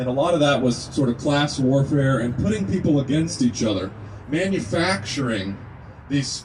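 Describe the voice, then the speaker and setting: A man with a slight Kentucky accent talks at a fairly quick pace, his pitch rising and falling in an ordinary way. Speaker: naturopathic medicine student, speaker at a rally. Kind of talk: speech to a gathering. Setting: outdoors at a rest stop.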